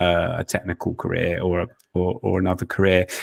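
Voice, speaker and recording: A man talks with a very deep, low pitch. The sound is dry and close, with no echo. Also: very clean recording, silent background. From UK. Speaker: podcast co-host, tech professional. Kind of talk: casual chat.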